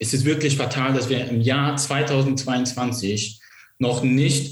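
Somewhat breathy, a man speaks at a very slow pace and medium pitch. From eastern Germany (Vogtland, Saxony), born in Iraq. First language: not German (Iraq) (speaking German). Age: young. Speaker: politician, civil engineer. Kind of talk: interview.

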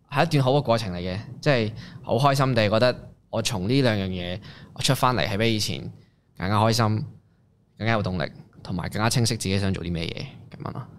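Fairly quick speech from a man with a fairly low pitch, ordinary pitch variation and long, frequent pauses. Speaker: rapper and singer-songwriter. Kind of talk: casual interview chat.

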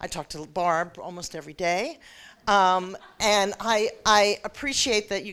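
A woman with a normal speaking voice talks fairly slowly at medium pitch, in a very clean recording with a silent background. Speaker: ratepayer advocate official. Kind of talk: panel discussion. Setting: stage with audience.

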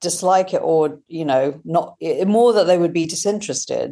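A woman with a British accent has a dark, mellow tone and lively intonation. She talks at a moderate pace. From Britain, British Indian family. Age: 40s. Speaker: author and science journalist. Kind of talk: interview. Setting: at home.

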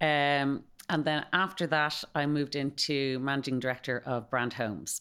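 Very deep, low female voice in a Dublin accent, at a moderate pace with ordinary pitch variation, in a very clean recording with a silent background. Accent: Dublin Irish. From Dublin, Ireland. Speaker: company managing director, former brand ambassador. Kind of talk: interview, casual chat.

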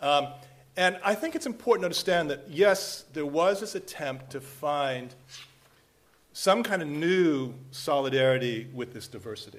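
This man has a normal speaking voice with fairly high pitch and a moderate pace. His intonation is lively and his loudness swings widely. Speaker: international security professor. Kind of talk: panel discussion. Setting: stage with audience. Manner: casual, jokey.

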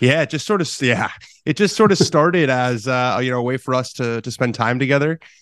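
With a quiet background, a man with a normal speaking voice, an American accent and a medium pitch talks at a fairly quick pace with lively intonation. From US West Coast, Los Angeles. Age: 20s. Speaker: golf journalist and podcaster. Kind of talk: interview.

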